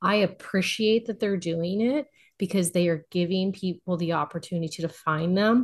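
A woman with an ordinary speaking voice, a medium pitch, ordinary pitch variation and a moderate pace. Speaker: podcast contributor, romance reader. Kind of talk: casual chat.

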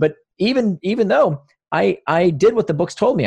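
Using vocal fry and very wide pitch swings, a man speaks with an American accent. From US South, Florida (Orlando suburb). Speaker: author. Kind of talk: interview.

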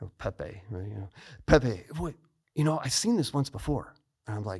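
Speaking with an American accent at a moderate pace, a man sounds somewhat breathy and uses lively intonation in a very clean recording with a silent background. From US Midwest, Chicago suburbs. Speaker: retired fighter pilot and author. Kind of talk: interview.

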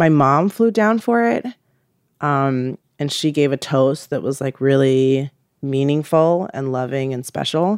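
A woman's very deep, low voice with lively intonation at a fairly slow pace, dry and close with no echo. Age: 30s. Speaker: interviewee. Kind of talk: interview.

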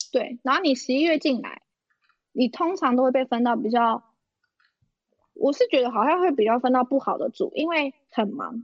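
An animated voice moves at a moderate pace with ordinary pitch variation and long, frequent pauses. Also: woman, high pitch for a woman. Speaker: podcast co-host, former auditor. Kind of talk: casual chat. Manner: animated, frequent laughter.

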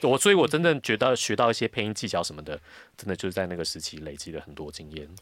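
A man speaks very fast with a very deep, low pitch and very wide pitch swings, on a very clean recording with a silent background. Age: 40s. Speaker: voice actor. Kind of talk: casual chat. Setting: studio.

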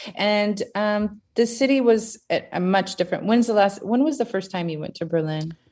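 A woman with an American accent talks in a normal speaking voice at a moderate pace, with hardly any pauses. Her pitch is medium with ordinary pitch variation, and the background is quiet. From US, Seattle area. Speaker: DJ and electronic music producer. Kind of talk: casual chat.

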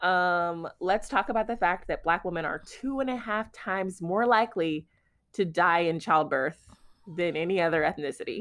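A woman speaks at a moderate pace in a medium pitch with ordinary pitch variation, in a plain, everyday voice. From Houston, Texas. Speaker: podcast co-host, author. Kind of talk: casual chat.

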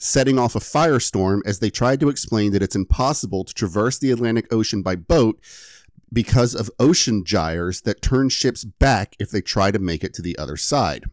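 A man with a normal speaking voice talks at a fairly low pitch and a moderate pace, his intonation lively. The recording is very clean with a silent background and a dry, close sound with no echo. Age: 30s. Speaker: podcast host and editor. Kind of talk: casual chat with story telling.

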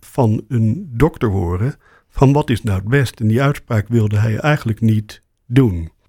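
A man's dark, mellow tone. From Rotterdam, Netherlands. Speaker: ENT surgeon and professor. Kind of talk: interview.

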